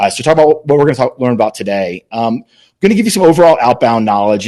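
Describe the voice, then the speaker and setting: With a dark, mellow tone, a man talks at a medium pitch. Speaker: sales leader and conference speaker. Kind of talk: webinar presentation. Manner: fast; filler-heavy, repeats words.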